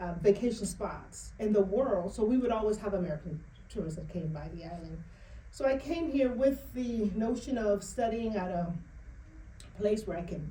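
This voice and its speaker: A woman's animated voice with a Bahamian accent, lively intonation and a moderate pace, plus audible room echo. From Bahamas. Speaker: author and financial educator. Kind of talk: interview.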